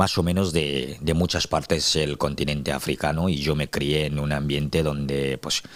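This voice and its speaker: With monotone, flat intonation, a man talks at a fairly slow pace in a very deep, low voice. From Cameroon, Douala. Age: 30s. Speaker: activist, interview guest. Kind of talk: interview. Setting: studio. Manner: hesitant with many fillers.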